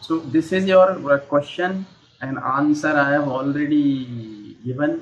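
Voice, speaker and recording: A man at a fairly high pitch, speaking at a very slow pace over noticeable background noise. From India. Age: 50s. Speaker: English teacher. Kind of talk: online English lesson. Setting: Skype call.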